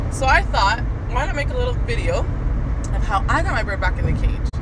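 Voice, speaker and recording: A woman talks over loud background noise. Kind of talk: casual vlog chat. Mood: relaxed, friendly. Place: car. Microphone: phone near.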